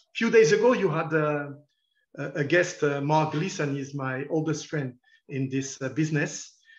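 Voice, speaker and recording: The voice is somewhat breathy, with a French accent. It moves at a moderate pace with ordinary pitch variation. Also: man, fairly high pitch for a man. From France. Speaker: football journalist. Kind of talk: lecture. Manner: halting.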